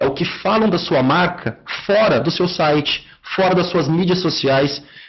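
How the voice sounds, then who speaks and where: There is audible room echo around a man whose voice is high in pitch. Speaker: marketing software account manager. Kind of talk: online lecture. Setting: online webinar.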